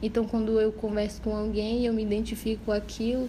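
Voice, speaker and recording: Background noise is clearly audible. Over it, a woman talks at an even, middling tempo. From Parintins, Amazonas, Brazil. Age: 20s. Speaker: podcast co-host, medical school applicant. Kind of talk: casual chat.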